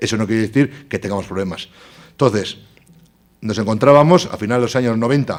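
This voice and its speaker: A man talks very fast at a medium pitch, and his pitch varies in an ordinary way. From Basque Country, Spain (Bilbao). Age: 40s. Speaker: politician, tourism director. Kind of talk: conference talk.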